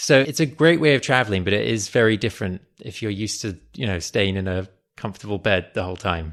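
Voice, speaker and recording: On a very clean recording with a silent background, a man with an English accent and a fairly low pitch talks at a very fast pace with lively intonation. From London, England. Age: 30s. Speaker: podcaster and aspiring screenwriter. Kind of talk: interview.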